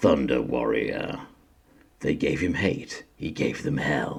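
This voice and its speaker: In a put-on character voice, a man with a very deep, low pitch talks fairly slowly. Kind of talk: trailer narration. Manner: dramatic, booming.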